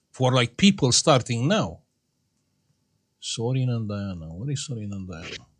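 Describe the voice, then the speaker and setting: Somewhat breathy, a man talks at a moderate pace. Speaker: electronics repair youtuber. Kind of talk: casual chat.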